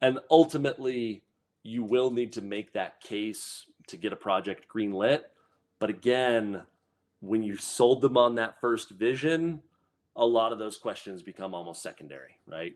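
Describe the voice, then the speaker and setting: A man's pitch varies in an ordinary way as he talks at a medium speed. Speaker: process design instructor. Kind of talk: webinar presentation. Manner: hesitant, repeats words.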